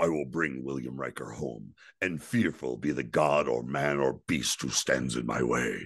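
Putting on a gravelly character voice, a man speaks at a moderate pace in a very deep, low pitch with fairly even intonation. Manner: solemn, vowing.

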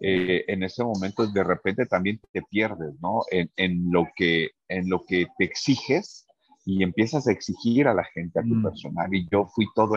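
A man talks at a fairly slow pace with hardly any pauses. His pitch is fairly low, with ordinary variation. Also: dry, close sound with no echo. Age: 50s. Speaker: restaurant owner. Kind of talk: interview. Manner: halting, many fillers and repetitions.

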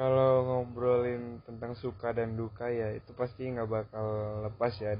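A man speaks at a moderate pace in a medium pitch, his intonation flat and monotone, with noticeable background noise behind him. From Batam, Indonesia. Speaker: university student leader. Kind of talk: casual podcast interview.

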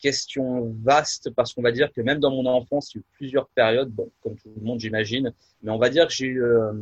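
Somewhat breathy, a man talks at a moderate pace in a medium pitch. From France, Nièvre. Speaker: pastor and musician. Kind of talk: casual interview. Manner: halting, many fillers.

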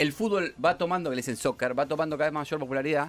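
A man speaks at a very fast pace. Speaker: radio host. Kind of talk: casual chat.

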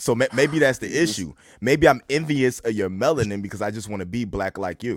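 In a very clean recording with a silent background, a man speaks fairly quickly at a medium pitch. He has an unremarkable speaking voice, lively intonation and big swings in loudness. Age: 30s. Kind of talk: casual chat.

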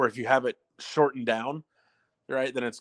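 A man with an unremarkable speaking voice, medium in pitch, speaks with fairly even intonation and an American accent. The sound is dry and close with no echo, on a very clean recording with a silent background. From Southern California. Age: 30s. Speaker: motorsports consultant and former racer. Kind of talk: interview.

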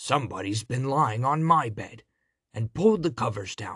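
A man growls through a put-on character voice pitched in the medium range. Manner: growling.

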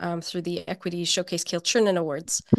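A woman at medium pitch. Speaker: filmmaker and mentee. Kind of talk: casual interview. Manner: hesitant, many fillers.

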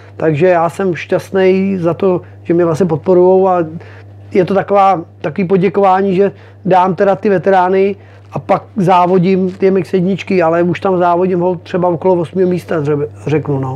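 This man has a high pitch, a dark, mellow tone and fairly even intonation, and he talks at a moderate pace. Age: 40s. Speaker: motocross racer. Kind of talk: interview. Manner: casual, hesitant with fillers.

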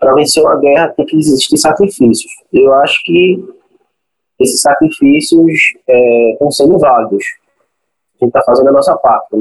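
Long, frequent pauses in a man's speech at a moderate pace, with very even loudness. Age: 20s. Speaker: cinema projectionist. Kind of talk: interview. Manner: halting.

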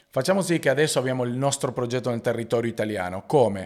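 Recorded very cleanly against a silent background, a man speaks with a Spanish accent and ordinary pitch variation. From Argentina. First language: Spanish (speaking Italian). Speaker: basketball player and entrepreneur. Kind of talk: interview.

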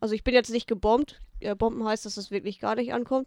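At a moderate pace, a woman talks in an ordinary speaking voice, fairly high in pitch, with fairly even intonation. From Münsterland / Ostwestfalen-Lippe, Germany. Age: 20s. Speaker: comedian. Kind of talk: casual chat.

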